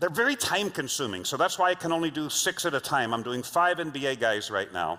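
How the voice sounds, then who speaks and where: A fairly high-pitched man's voice, bright and sharp, with vocal fry, very wide pitch swings, a fairly quick pace and hardly any pauses. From Los Angeles, US. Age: 60s. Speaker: leadership trainer and speaker. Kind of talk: keynote talk.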